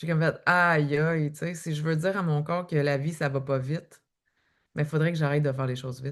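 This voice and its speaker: A woman with a very deep, low pitch speaks in a flat monotone. Her pace is fairly quick, and the background is quiet. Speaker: author and eating-behaviour coach. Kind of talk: podcast interview.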